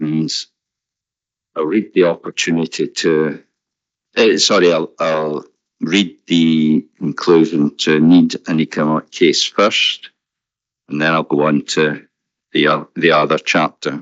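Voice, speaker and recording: A man speaks with a Scottish accent in a very deep, low voice and monotone, flat intonation. His pace is fairly slow, with long, frequent pauses. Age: 70s. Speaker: objector at a public inquiry. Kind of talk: reading a formal statement at a public inquiry. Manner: formal; halting with fillers.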